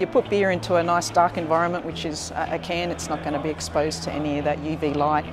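Over noticeable background noise, a woman talks at a very fast pace with a very deep, low pitch. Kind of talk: interview answer. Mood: friendly, smiling. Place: factory.

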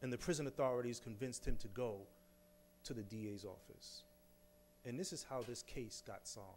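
Over light background noise, a man speaks with a New York accent. His pace is fairly quick, with ordinary pitch variation. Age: 40s. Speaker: exoneree, speaker; speaker. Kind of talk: public talk. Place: hall. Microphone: podium.

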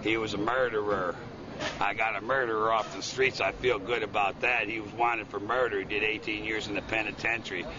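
A man with an American accent, fairly low-pitched and monotone, at a fairly quick pace, dry with no echo, over noticeable background noise. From Chicago, USA. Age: 60s. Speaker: Vietnam veteran. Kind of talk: street interview answer. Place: street. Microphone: phone near.

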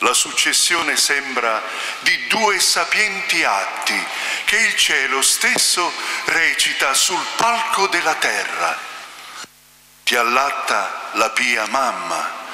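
Audible room echo surrounds a man speaking at a very slow pace. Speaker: liturgical reader. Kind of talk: reading aloud. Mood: solemn, devotional. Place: church. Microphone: headset.

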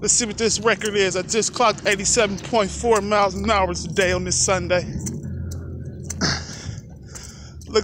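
Fairly slow speech, dry sound with no echo, noticeable background noise. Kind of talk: casual vlog chat. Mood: excited, joking. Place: street. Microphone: phone near.

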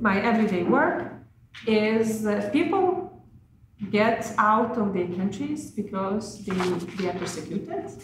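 Very slow speech with audible room echo and light background noise. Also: woman. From Lithuania. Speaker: former diplomat, NGO president. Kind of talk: conference speech. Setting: conference panel with microphones. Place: meeting room. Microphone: podium.

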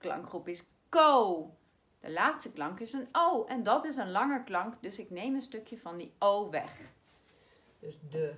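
With very wide pitch swings and big swings in loudness, a woman speaks at a fairly high pitch. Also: fairly slow pace. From Netherlands. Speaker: primary school teacher. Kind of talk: spelling lesson for children. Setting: recorded video lesson. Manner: slow, clearly articulated. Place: classroom. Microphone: camera far.

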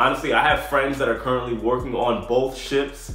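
A man talks at a moderate pace. Room echo can be heard. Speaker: former cruise ship entertainer vlogger. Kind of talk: casual vlog chat. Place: home room. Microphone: phone near.

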